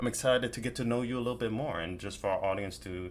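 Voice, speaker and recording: A man talks at medium pitch with ordinary pitch variation and vocal fry. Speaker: horror content creator, podcast host. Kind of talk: casual podcast interview host.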